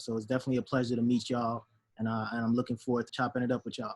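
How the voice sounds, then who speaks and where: In a Chicago accent, a man talks at a very fast pace with monotone, flat intonation. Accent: Chicago American English. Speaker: professor. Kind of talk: casual chat.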